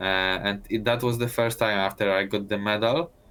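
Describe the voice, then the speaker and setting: A man speaks with a slight Italian accent and a fairly low pitch. His intonation is fairly even. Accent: Italian-tinged. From Poland. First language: Polish. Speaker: Olympic speed skater. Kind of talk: casual interview. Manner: halting, many fillers and restarts.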